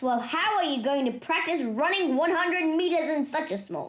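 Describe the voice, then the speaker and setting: In a put-on character voice with extremely high pitch, a woman speaks at a moderate pace, her intonation lively and her loudness swinging widely. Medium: read story. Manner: pompous, booming.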